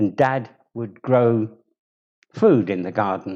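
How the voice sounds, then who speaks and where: A man's medium-pitched voice with a southern English accent, very slow in pace, dark and mellow in tone, with ordinary pitch variation. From southern England, Bromley, Kent. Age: 70s. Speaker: community member telling his life story. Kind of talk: personal life story talk.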